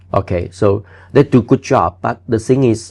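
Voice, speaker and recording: A man speaks at a moderate pace, and his pitch variation is ordinary. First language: not English. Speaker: building inspector. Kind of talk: interview answer.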